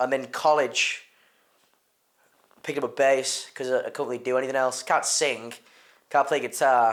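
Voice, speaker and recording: Monotone and flat, a man speaks at a moderate pace and a medium pitch, with long, frequent pauses. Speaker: bassist. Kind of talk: documentary interview. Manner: loud; halting, repeats words.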